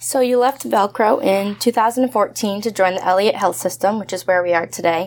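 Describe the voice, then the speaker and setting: A woman with an American accent and an ordinary speaking voice, medium in pitch with ordinary pitch variation, at a fairly quick pace. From Massachusetts. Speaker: college student interviewer. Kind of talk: interview.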